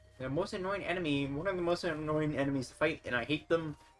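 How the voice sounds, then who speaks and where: Music plays in the background as a man talks at a fairly quick pace. His pitch is fairly high, with ordinary pitch variation. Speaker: gaming video creator. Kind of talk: gameplay commentary. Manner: fast.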